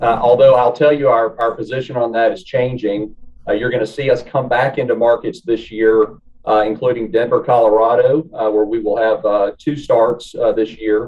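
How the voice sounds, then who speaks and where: With a Southern US accent, a man talks at a medium pitch and moderate pace, his intonation fairly even. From US South. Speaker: real estate development executive. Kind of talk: interview. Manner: hesitant, many filler words.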